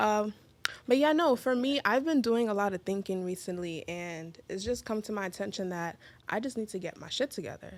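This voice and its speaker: Using a normal speaking voice, a woman with an American accent talks at a fairly quick pace with medium pitch and lively intonation. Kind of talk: casual podcast conversation.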